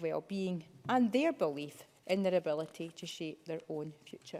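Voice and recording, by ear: A woman is speaking here. Her tone is slightly mellow and her pace moderate.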